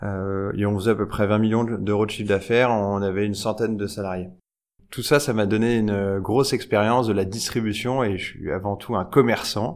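With an ordinary speaking voice, a man talks at a moderate pace and a fairly low pitch, his intonation fairly even. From France, Nièvre. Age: 30s. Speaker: fashion entrepreneur and tech founder. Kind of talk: casual interview. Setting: showroom.

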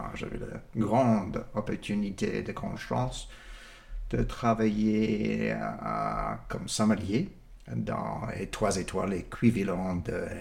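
A man with an American accent, speaking at a very slow pace. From California. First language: English (speaking French). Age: 60s. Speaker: winemaker, former sommelier. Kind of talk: interview. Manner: halting.

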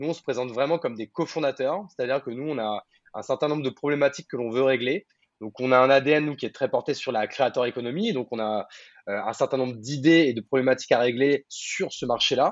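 A man speaks at a fairly quick pace, his medium pitch showing ordinary pitch variation. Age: 30s. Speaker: entrepreneur. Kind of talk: interview. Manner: hesitant, many fillers.

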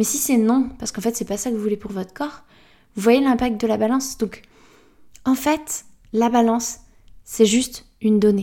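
A woman's fairly high voice with a dark, mellow tone, fairly even intonation, a moderate pace and long, frequent pauses. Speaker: self-acceptance coach and podcast host. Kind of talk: casual solo podcast talk. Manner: chatty, with many fillers.

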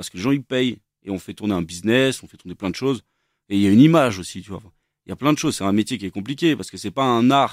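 Talking at a very fast pace, a man with fairly low pitch uses lively intonation and big swings in loudness. The sound is dry and close with no echo, on a very clean recording against a silent background. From France, Versailles. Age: 30s. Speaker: chef. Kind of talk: casual chat.

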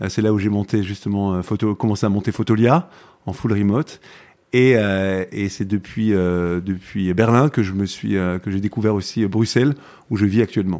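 A man speaks slowly-ish with fairly even intonation and a fairly low pitch. His tone is dark and mellow. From southern France, Provence. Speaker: tech entrepreneur. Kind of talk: interview conversation. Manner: halting, many repetitions.

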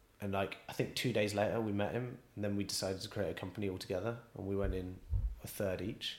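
A man with a West Country accent speaks fairly quickly in a fairly low voice. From England, Bristol. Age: 30s. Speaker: chef. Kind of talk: casual interview. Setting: restaurant.

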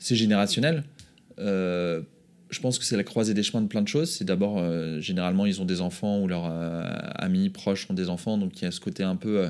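In an ordinary speaking voice, a man talks at a fairly quick pace, his pitch fairly low with ordinary pitch variation. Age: 30s. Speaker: entrepreneur. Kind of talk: casual chat.

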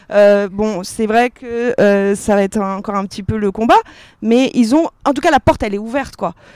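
In a plain, everyday voice, a woman speaks at a moderate pace and a fairly high pitch, with a dry, close sound with no echo on a very clean recording with a silent background. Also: ordinary pitch variation. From Paris, France. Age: 30s. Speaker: fashion brand co-founder. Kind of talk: panel discussion. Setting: outdoor stage with audience.

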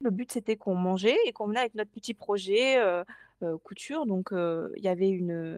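A woman's medium-pitched voice at a fairly slow pace, ordinary in pitch variation, with a dry, close sound and no echo. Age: 20s. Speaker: sewing pattern designer. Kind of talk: casual interview.

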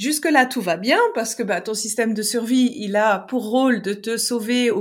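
Here is a woman with an unremarkable speaking voice and a fairly high pitch. She talks at a fairly slow pace with fairly even intonation. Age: 40s. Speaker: relationship coach and therapist. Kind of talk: casual interview chat.

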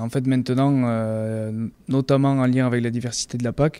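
At a fairly slow pace, a man speaks at medium pitch in a flat monotone. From France, Béarn. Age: 40s. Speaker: agricultural cooperative manager. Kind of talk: interview. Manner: halting, with frequent fillers.

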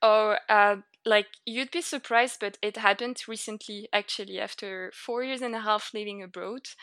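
Recorded very cleanly with a silent background and a dry, close sound with no echo, a woman with a French accent speaks in a bright, sharp tone at fairly high pitch, moderate pace and fairly even intonation, with big swings in loudness and hardly any pauses. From northern France. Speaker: expat. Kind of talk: casual chat.

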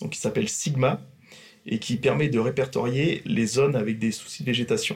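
This man's voice is medium in pitch, and its pitch moves in an ordinary way. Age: 30s. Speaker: railway maintenance works manager. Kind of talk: workplace podcast interview. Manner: hesitant with fillers.

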